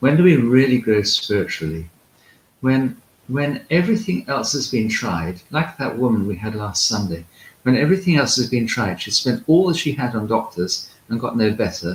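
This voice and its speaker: At a moderate pace, a man with a medium pitch and a somewhat breathy voice makes very wide pitch swings. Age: 60s. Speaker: Orthodox priest and monk. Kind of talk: spiritual talk. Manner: hesitant with frequent fillers.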